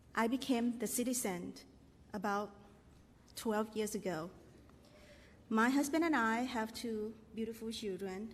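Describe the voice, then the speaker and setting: Fairly high in pitch and somewhat breathy, a woman with a non-native accent speaks fairly slowly with long, frequent pauses, and the room echo is audible. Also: ordinary pitch variation. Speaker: parent. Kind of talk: testimony. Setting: stage with audience. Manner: halting.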